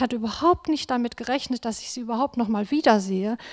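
A woman speaks at a high pitch with ordinary pitch variation, in a dry, close sound with no echo and a very clean recording with a silent background. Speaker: nurse. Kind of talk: testimony. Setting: church service. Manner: reading from notes.

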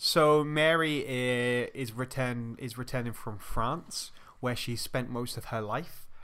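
With an English accent, a man speaks at medium pitch and a very slow pace, his intonation fairly even. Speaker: film podcast co-host. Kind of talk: casual chat. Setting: home recording in a flat.

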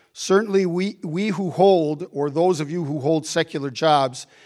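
Against a silent background in a very clean recording, a man speaks in a plain, everyday voice. His pitch is fairly high with ordinary variation, and his pace is fairly slow. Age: 60s. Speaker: bishop. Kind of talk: sermon. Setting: church.

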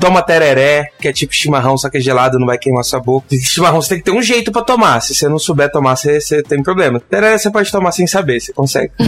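A man's fairly high, very fast speech with lively intonation and hardly any pauses, over noticeable background noise. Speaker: software developer. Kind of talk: casual panel discussion. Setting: remote, video call.

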